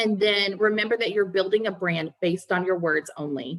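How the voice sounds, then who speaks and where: Moderately paced and medium in pitch, a woman speaks in an ordinary speaking voice with ordinary pitch variation. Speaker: resume writer and career coach. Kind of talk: webinar presentation.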